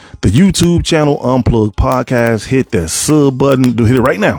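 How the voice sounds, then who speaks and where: A man's medium-pitched voice with ordinary pitch variation, against noticeable background noise. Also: hardly any pauses. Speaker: podcast host. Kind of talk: casual monologue podcast. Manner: fast.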